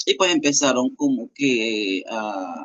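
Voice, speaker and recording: A man speaks with ordinary pitch variation. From Venezuela. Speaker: interviewee sharing life story. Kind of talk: interview testimony. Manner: halting, with many fillers.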